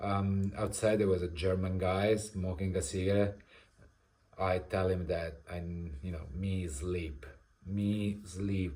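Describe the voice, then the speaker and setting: With an Italian accent, a man speaks very slowly at a very deep, low pitch, somewhat breathy and dark and mellow in tone, his intonation fairly even amid audible room echo. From Italy. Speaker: vlogger. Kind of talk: personal storytelling. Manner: halting, many fillers.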